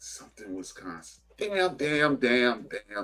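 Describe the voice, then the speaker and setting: Music plays behind the speaker. The man talks at a very slow pace. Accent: Chicago. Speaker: podcast host. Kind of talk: casual chat. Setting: live stream.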